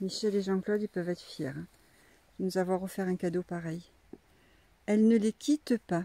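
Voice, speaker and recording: Speaking at a moderate pace with long, frequent pauses, a woman uses ordinary pitch variation in a dark, mellow tone, recorded dry and close with no echo. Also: medium pitch for a woman. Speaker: donkey breeder. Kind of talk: casual vlog narration. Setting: outdoors. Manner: soft-spoken at times.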